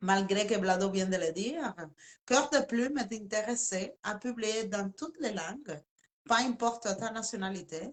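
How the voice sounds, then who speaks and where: A woman with a Spanish accent, fairly high-pitched and fairly slow, with ordinary pitch variation. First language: Spanish (speaking French). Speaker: interviewer. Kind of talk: live interview. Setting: live video stream.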